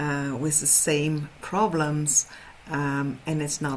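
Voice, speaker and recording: A woman with a very deep, low pitch speaks with a Dutch accent. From Netherlands. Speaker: horse trainer. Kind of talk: webinar presentation. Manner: halting.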